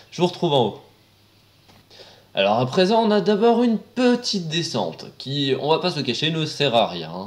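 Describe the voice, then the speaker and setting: This man talks at a fairly slow pace with a fairly high pitch. His voice shows vocal fry and very wide pitch swings. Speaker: roller coaster video presenter. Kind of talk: casual commentary narration. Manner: casual, sarcastic.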